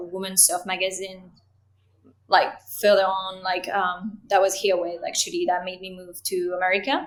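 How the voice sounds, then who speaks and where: This woman has a French accent. She talks at a moderate pace. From France. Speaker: creative director and cinematographer. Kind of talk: interview.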